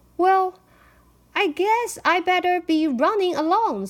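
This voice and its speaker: A woman uses a put-on character voice that is squeaky and extremely high in pitch. She talks at a fairly slow pace. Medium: read story.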